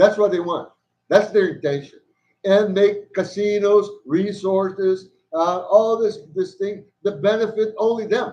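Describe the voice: A man's slightly mellow, high voice at a fairly slow pace, with ordinary pitch variation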